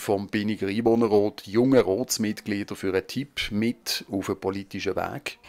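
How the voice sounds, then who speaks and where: At a moderate pace with hardly any pauses, a man talks in a plain, everyday voice of fairly low pitch and fairly even intonation, in a dry, close sound with no echo. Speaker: local TV reporter. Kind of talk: news narration.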